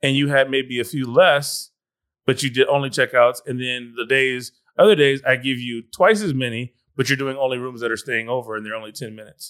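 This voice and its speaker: A man with an American accent and an ordinary speaking voice talks at a fairly quick pace in a medium pitch, with ordinary pitch variation and big swings in loudness. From California. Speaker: pastor. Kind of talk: interview.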